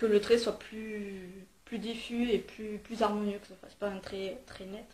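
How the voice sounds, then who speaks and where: Somewhat breathy and at a medium pitch, a woman speaks very slowly in a flat monotone. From southern France, Marseille. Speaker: beauty vlogger. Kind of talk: makeup tutorial. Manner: hesitant, many fillers.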